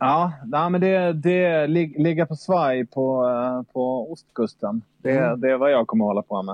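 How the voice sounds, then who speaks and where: Speaking fairly slowly, a man uses a fairly high pitch and lively intonation. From southern Sweden, Malmö. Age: 40s. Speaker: sailor. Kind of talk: casual chat.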